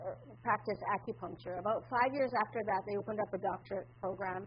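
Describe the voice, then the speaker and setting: A woman at a medium pitch, with lively intonation and a fairly quick pace. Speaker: acupuncturist. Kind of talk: conference presentation. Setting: conference room with audience. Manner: loud.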